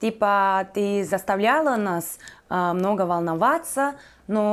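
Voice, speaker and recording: Over music in the background, a woman with a Turkish accent speaks at a very slow pace. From Turkey. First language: Turkish (speaking Russian). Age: 20s. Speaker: YouTuber. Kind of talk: casual vlog monologue. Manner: hesitant, many fillers.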